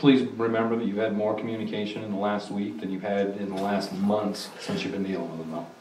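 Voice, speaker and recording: With hardly any pauses, a man rushes along at a very fast pace in a fairly low pitch and fairly even intonation, over light background noise and audible room echo. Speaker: town board member. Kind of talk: town council meeting. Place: meeting room.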